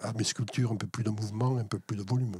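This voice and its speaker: A man speaks fairly low with ordinary pitch variation and a somewhat breathy quality. The sound is dry and close, without echo. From Alsace, France. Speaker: wire sculptor, former interior architect. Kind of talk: interview. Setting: in his workshop. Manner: hesitant, many fillers.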